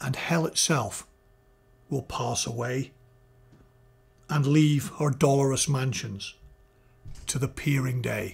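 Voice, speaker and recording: Over music in the background, a man speaks at a very slow pace with long, frequent pauses. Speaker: audio reviewer. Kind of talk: poetry reading for mic test. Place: home room. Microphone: studio mic.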